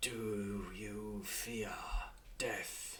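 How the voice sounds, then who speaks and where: A man whispers in a put-on character voice with a rumbling quality. Noticeable background noise runs beneath him. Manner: whispering.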